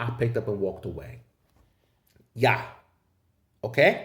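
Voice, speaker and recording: Somewhat breathy, the speaker has an American accent. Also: man. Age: 30s. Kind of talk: casual talk to camera. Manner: profane, animated.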